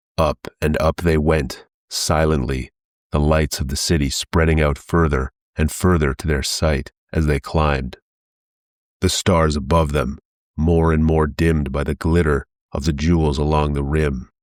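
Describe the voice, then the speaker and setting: Using a put-on character voice, a man speaks at a moderate pace with a very deep, low pitch, recorded very cleanly against a silent background. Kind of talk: pulp adventure reading. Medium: read story.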